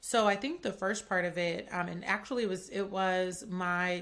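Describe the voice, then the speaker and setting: A bright, sharp tone carries fairly slow speech with fairly even intonation. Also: woman. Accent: Atlanta. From US South, Atlanta. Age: 20s. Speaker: podcast host and chef. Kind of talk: casual chat. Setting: home studio.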